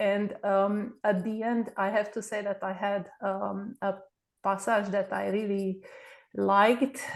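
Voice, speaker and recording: With a Romanian accent, a woman speaks at a fairly slow pace against a quiet background. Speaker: book club member. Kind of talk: casual chat. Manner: halting, many fillers.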